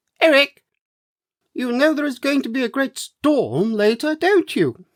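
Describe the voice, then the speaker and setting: The speaker uses a put-on character voice. The pitch is high. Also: moderate pace. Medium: read story.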